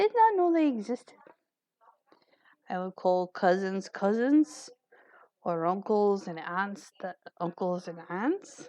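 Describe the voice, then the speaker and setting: Speaking very slowly at medium pitch, a woman lets her voice swing very widely up and down. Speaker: author and vlogger. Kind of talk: personal vlog monologue. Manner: halting.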